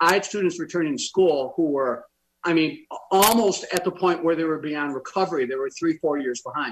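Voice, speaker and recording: This man has a high-pitched voice with ordinary pitch variation. He talks at a fairly quick pace. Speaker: education expert, former school superintendent. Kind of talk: political panel discussion.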